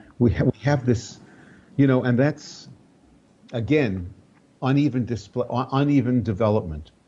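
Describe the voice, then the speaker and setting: Pausing long and often, a man speaks at a moderate pace in a dark, mellow, somewhat breathy voice at medium pitch with ordinary pitch variation. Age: 70s. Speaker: spiritual teacher. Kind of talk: interview conversation.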